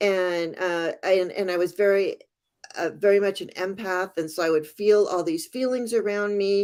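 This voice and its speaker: A woman talks in an ordinary speaking voice at a medium pitch. Her pace is moderate and her pitch variation ordinary. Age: 60s. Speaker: tarot reader. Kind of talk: casual interview.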